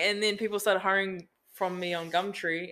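A woman with a New Zealand accent speaks at a moderate pace. Her tone is bright and sharp, her intonation flat and monotone. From New Zealand, Auckland North Shore. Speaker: business owner. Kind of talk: casual chat.

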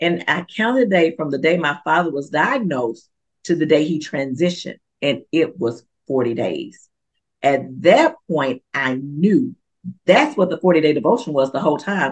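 Animated and with lively intonation, a woman with a very deep, low voice speaks at a moderate pace. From western Kentucky. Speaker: author and preacher. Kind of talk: interview.

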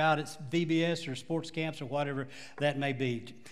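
A man speaks with a Texan accent. His pitch varies in an ordinary way. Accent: Texas Southern. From Texas. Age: 70s. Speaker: pastor. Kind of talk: sermon. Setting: church.

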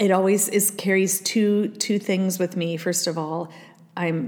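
A woman's very slow, American-accented delivery with ordinary pitch variation. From Iowa, US Midwest. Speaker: podcast host. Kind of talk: solo podcast monologue.

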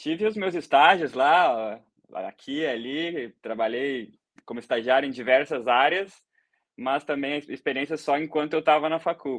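A man with a southern Brazilian accent talks at a fairly slow pace and a fairly high pitch. His pitch variation is ordinary, and the background is quiet. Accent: southern Brazilian (gaúcho) Portuguese. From Brazil, Rio Grande do Sul. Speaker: BIM coordinator, civil engineer. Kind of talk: casual interview on a livestream.

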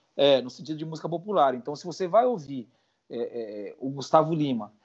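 A man talks with lively intonation. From Brazil, São Paulo. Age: 30s. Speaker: music producer. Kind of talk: casual interview.

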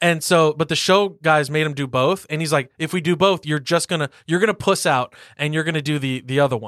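A man's plain, everyday voice, fairly high in pitch, with an American accent, ordinary pitch variation and a fairly quick pace, on a very clean recording with a silent background. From US South. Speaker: podcast co-host. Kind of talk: casual chat; trivia quiz.

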